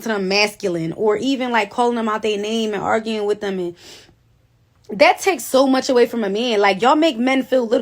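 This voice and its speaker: A woman is talking. Her voice sits fairly high and its pitch varies in an ordinary way. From Philadelphia, US. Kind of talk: casual social media monologue. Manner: assertive, forceful.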